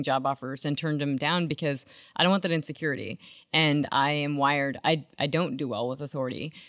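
Speaking at a fairly quick pace with an American accent, a woman uses a very deep, low pitch and fairly even intonation. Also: very clean recording, silent background. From rural US. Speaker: energy research consultant and podcast host. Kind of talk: casual interview.

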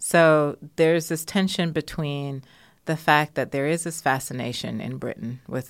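In an American accent, a woman speaks at a moderate pace with vocal fry and ordinary pitch variation. The recording is very clean, with a silent background. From Jamaica, raised in the US. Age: 40s. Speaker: sociology lecturer and natural beauty business owner. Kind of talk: interview conversation.

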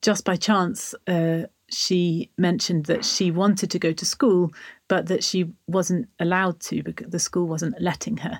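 Her intonation fairly even, a woman speaks with an English accent. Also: fairly low pitch for a woman. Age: 40s. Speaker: author and charity founder. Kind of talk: interview storytelling.

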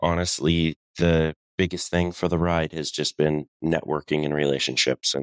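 A man with an American accent and a very deep, low pitch, monotone and flat in intonation, with a dry, close sound with no echo on a very clean recording with a silent background. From Colorado. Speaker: excavation business owner. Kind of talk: casual chat.

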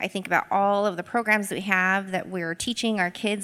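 A woman's medium-pitched voice with an American accent, an ordinary speaking voice, and ordinary pitch variation. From Boise, Idaho. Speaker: equity coach. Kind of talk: live panel talk. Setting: stage with audience.

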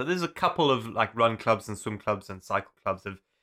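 On a very clean recording with a silent background, a man with a fairly low pitch and a bright, sharp tone talks at a fairly quick pace. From South Africa (Zululand). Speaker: endurance adventurer. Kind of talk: casual chat.

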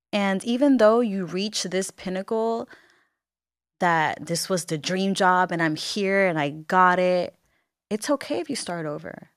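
Fairly slow speech in a Puerto Rican accent, with ordinary pitch variation and long, frequent pauses. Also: woman. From Puerto Rico, Bayamon. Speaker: entrepreneur and social media personality. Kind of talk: interview conversation.

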